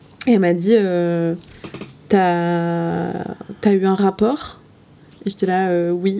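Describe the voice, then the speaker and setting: A woman with a fairly low voice speaks with long, frequent pauses. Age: 20s. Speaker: interviewee. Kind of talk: personal testimony in casual chat.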